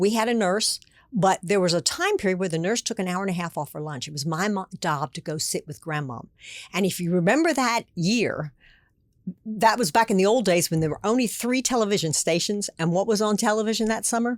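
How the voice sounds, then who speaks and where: With an American accent, a woman in an ordinary speaking voice talks at a fairly quick pace and medium pitch, her intonation lively and the sound dry and close with no echo. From Pennsylvania. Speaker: former state politician. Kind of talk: interview.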